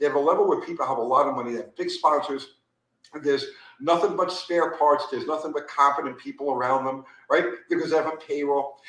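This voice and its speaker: Very fast and animated, a man talks at a fairly high pitch. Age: 50s. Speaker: former nitro drag racer. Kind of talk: casual chat.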